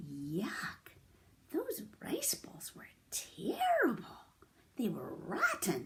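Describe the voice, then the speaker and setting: A raspy put-on character voice moves at a very slow pace with long, frequent pauses. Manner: complaining, disgusted.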